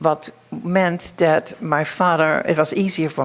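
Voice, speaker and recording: A woman with very deep, low pitch, a fairly slow pace and a Dutch accent. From Netherlands. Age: 80s+. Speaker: Holocaust survivor. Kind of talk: testimony.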